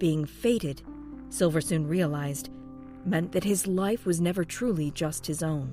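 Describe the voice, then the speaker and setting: Music plays in the background as a woman speaks. Her fairly low voice has lively intonation and a fairly slow pace. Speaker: fan fiction podcast narrator. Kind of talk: read story.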